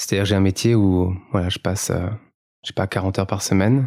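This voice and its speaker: A man's fairly low voice at a moderate pace, ordinary pitch variation and music in the background. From France, Paris region (near Melun). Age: 30s. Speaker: carbon footprint consultant, founder. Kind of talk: podcast interview. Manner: hesitant, many fillers.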